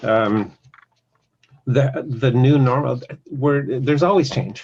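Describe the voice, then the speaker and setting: A man speaks at a very slow pace and medium pitch. His voice is somewhat breathy, with ordinary pitch variation. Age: 60s. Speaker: podcast interviewer. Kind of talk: casual interview conversation. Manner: halting, many fillers.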